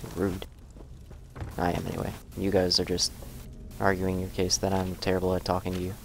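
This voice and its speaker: Over music in the background, a man with a very deep, low pitch speaks in a monotone, flat way at a fairly quick pace with long, frequent pauses. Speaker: gaming streamer. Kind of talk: game commentary. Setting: live stream. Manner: halting.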